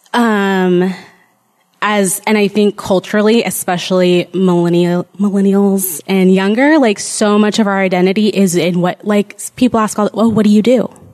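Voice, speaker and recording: This woman has an unremarkable speaking voice at medium pitch. She keeps a moderate pace, fairly even intonation and very even loudness. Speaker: panelist. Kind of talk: panel Q&A.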